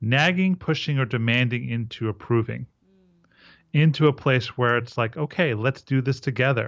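A man speaks in a normal speaking voice, pitched at a medium level. His pace is moderate, and his pitch varies in an ordinary way. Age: 40s. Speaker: men's relationship coach. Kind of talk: interview.

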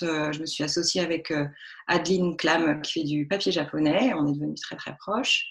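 Keeping a moderate pace, a woman talks with ordinary pitch variation. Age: 40s. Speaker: textile artist. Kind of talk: interview. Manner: halting.

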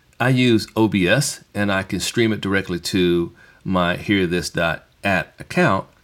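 A man speaks at a fairly slow pace with a very deep, low pitch and ordinary pitch variation. The recording is very clean, with a silent background. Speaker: DJ and podcast host. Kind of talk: casual solo talk. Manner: casual, off the cuff.

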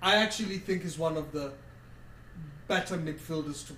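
Noticeable background noise surrounds a man speaking at a moderate pace with a fairly high pitch and ordinary pitch variation. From Kenya. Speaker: football podcast co-host. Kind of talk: casual chat. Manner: animated.

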